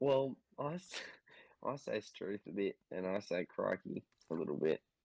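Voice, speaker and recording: Moderate pace from a man with an Australian accent. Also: dry, close sound with no echo. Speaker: podcast co-host. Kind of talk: casual chat.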